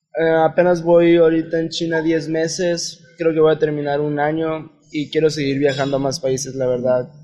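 Over noticeable background noise, a man with a fairly high pitch speaks in a monotone, flat way at a moderate pace, with hardly any pauses. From Mexico, Mexicali (Baja California border). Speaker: guest traveler. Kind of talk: casual interview.

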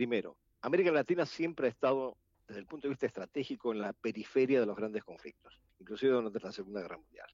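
With an Argentine accent, a man talks at a very fast pace. His pitch is medium with ordinary variation. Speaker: international relations analyst. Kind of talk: panel discussion. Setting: video call.

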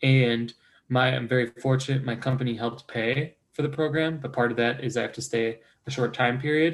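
Medium in pitch with fairly even intonation, a man speaks in an unremarkable speaking voice. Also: fairly quick pace. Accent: American. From Chicago northwest suburbs, US Midwest. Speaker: pharmaceutical sales rep, MBA alumnus. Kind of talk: interview.

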